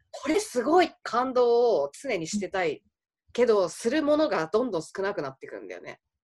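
Her pitch fairly high, a woman speaks at a moderate pace with very wide pitch swings and big swings in loudness. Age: 30s. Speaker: art director and graphic designer. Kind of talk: casual chat.

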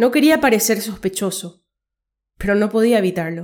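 A woman speaks at a moderate pace and medium pitch in an ordinary speaking voice. The recording is very clean, with a silent background. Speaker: podcast host and story narrator. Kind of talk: scripted dramatic narration of a short story, read aloud.

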